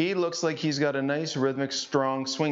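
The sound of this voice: The man's pitch sits at a medium level, with ordinary variation. He talks at a moderate pace.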